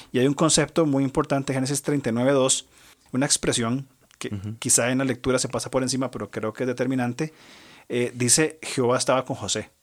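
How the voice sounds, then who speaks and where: Recorded very cleanly against a silent background, a man with medium pitch speaks at a fairly quick pace in a normal speaking voice. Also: fairly even intonation. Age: 40s. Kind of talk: religious discussion on family and Bible.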